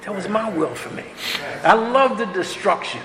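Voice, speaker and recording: Over noticeable background noise and audible room echo, a man speaks at a moderate pace with an extremely high pitch for a man. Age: 70s. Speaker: speaker at a recovery meeting. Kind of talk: testimony. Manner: casual, conversational.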